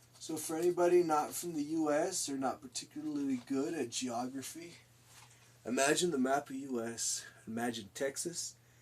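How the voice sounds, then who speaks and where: A man's voice at a moderate pace, fairly high in pitch, with ordinary pitch variation and a normal speaking voice. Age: 20s. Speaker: streamer and artist. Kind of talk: live stream chat while painting. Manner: casual, jokey.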